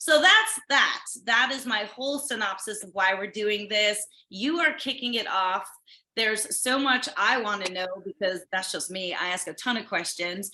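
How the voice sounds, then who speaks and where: Using lively intonation and a fairly high pitch, a woman talks at a moderate pace with an American accent. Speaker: livestream host. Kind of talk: casual chat. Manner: talkative, interrupts a lot.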